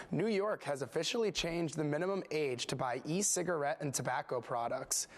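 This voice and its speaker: He talks at a fairly quick pace with an American accent, using a normal speaking voice and ordinary pitch variation. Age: 20s. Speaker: news anchor and reporter. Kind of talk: broadcast news anchor read. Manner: polished, clear.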